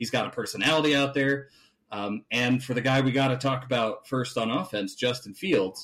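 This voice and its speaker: A man's normal speaking voice with an American accent, medium in pitch with ordinary pitch variation, at a fairly quick pace in a very clean recording with a silent background. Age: 30s. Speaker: sports podcast host. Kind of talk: casual chat.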